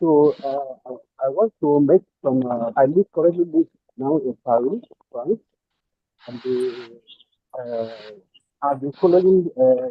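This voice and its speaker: Fairly high in pitch, a man with a Nigerian accent speaks at a very slow pace with long, frequent pauses and ordinary pitch variation. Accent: Nigerian Igbo English. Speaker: caller. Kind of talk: call-in contribution. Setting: phone call. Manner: halting. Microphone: too quiet.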